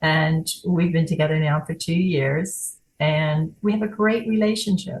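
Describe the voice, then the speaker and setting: A woman speaks at a fairly slow pace with a fairly low pitch. Her voice is somewhat breathy. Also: ordinary pitch variation. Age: 80s+. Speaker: author and poet, widow. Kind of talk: interview.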